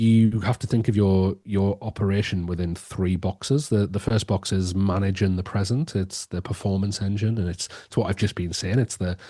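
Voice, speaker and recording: A man with an English accent talks at a moderate pace with hardly any pauses, his fairly low voice dark and mellow in tone. His intonation stays fairly even over a quiet background. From England. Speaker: education strategist and author. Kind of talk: podcast interview. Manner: hesitant, many repetitions and fillers.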